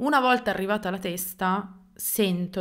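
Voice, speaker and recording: A woman speaks at a fairly slow pace against a quiet background. Her pitch varies in an ordinary way. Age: 30s. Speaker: YouTuber telling paranormal stories. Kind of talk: unscripted personal storytelling to camera. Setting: seated alone in front of camera. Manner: hesitant, many fillers. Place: home room. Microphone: studio mic.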